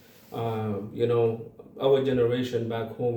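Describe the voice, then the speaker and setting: A man with an Arabic accent in monotone, flat intonation, amid audible room echo and noticeable background noise. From Sudan (Darfur). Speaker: community organization founder. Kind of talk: interview. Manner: halting, many fillers and repeats.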